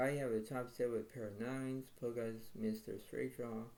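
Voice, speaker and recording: Quiet and at a fairly slow pace, a man speaks in a dark, mellow tone at a medium pitch. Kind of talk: casual game commentary to viewers.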